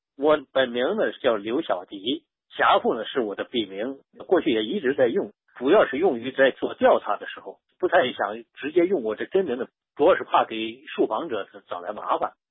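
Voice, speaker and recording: A man's fairly high voice at a moderate pace, with very wide pitch swings. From Shaanxi, Xi'an. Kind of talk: interview.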